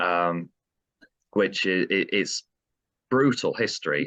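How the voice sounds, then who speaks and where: Very slowly, a man speaks with a Yorkshire accent in a dry, close sound with no echo and a quiet background. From South Yorkshire, between Sheffield and Barnsley. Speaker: metal band vocalist. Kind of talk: interview. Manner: halting, many fillers.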